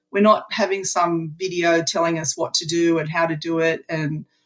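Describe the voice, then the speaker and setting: This woman talks with an Australian accent. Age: 60s. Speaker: retiree, program member. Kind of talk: interview.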